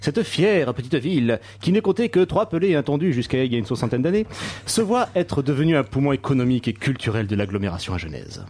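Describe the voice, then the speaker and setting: Somewhat breathy, a man talks at a very fast pace. His pitch swings very widely. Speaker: radio columnist. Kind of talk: comedic column. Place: studio.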